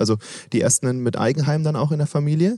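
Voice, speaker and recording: A man talks at a very fast pace in a fairly high pitch. His tone is dark and mellow, and somewhat breathy. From Swabia, southwest Germany. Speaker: podcast host. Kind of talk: interview. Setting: at a conference.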